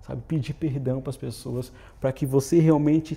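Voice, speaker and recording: A man's somewhat breathy voice, fairly high for a man, in a monotone, flat intonation at a moderate pace. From Brazil, Santa Catarina. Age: young. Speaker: volunteer missionary. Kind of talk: interview testimony. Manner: halting, repeats words.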